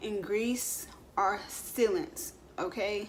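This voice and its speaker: A woman's lively intonation amid audible room echo. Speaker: beauty vlogger. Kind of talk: tutorial. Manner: casual, filler-heavy.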